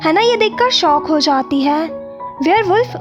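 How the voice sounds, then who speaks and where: A woman speaks at an extremely high pitch with ordinary pitch variation. Music plays in the background. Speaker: YouTube story narrator. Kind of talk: animated movie recap narration.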